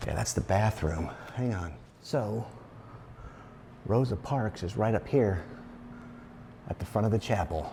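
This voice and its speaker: A man's fairly low voice at a fairly slow pace, with ordinary pitch variation and long, frequent pauses. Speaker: travel vlogger. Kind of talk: casual walking vlog narration. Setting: indoors in a cemetery chapel.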